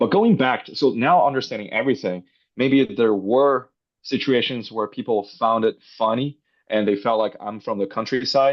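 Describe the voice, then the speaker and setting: With a Chinese accent, a man speaks at a medium pitch and a moderate pace. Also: ordinary pitch variation. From northwest China. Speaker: robotics startup founder. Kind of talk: interview. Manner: hesitant with fillers.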